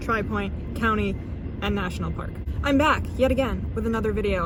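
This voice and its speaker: A woman mumbles at a fairly quick pace over noticeable background noise. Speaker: travel vlogger. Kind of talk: casual talk to camera. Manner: mumbling.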